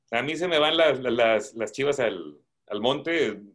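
The background is quiet while a man talks. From Nuevo Laredo, Mexico (border, schooled in Laredo, Texas); Mexico. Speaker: coin collector; guest. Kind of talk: casual chat. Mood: relaxed, warm. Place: home room. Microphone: video call.

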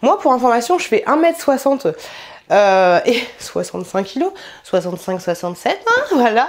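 Pitched fairly high, a woman speaks with very wide pitch swings. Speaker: YouTuber doing clothing haul. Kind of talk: try-on haul video. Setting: home filming room. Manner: animated.

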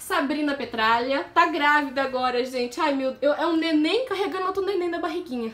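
Speaking at a moderate pace with hardly any pauses, a woman uses a high pitch and ordinary pitch variation. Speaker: vlogger. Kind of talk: casual talk to camera. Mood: affectionate, enthusiastic. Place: home room. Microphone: phone near.

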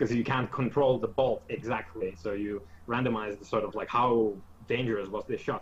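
A man's medium-pitched voice holds fairly even intonation at a moderate speed. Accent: Finnish. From Finland. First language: Finnish. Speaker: tabletop game master. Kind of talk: casual chat. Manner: hesitant, many fillers.

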